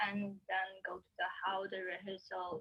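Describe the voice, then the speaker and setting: A woman with a Chinese accent has a bright, sharp tone, recorded with a dry, close sound and no echo. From China (Anhui and Shanghai). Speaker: orchestral violinist. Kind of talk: interview answer.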